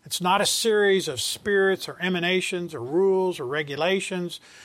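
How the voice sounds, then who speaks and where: A man's high-pitched voice with a Southern US accent, at a moderate pace, in a very clean recording over a silent background. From US South. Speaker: Bible teacher. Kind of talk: Bible study lecture. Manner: halting.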